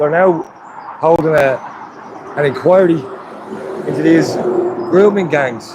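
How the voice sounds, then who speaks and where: A man with an Irish accent and a fairly high pitch speaks at a fairly slow pace with long, frequent pauses. His pitch varies in an ordinary way over noticeable background noise. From Ireland, County Wicklow. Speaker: livestreamer at a protest. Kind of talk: live stream commentary.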